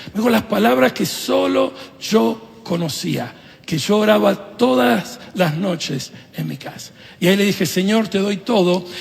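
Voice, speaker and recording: In an Argentine accent, a man with a high pitch speaks at a fairly slow pace with very wide pitch swings, amid noticeable background noise and audible room echo. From Venezuela, Italy and Argentina. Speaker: pastor. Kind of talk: sermon.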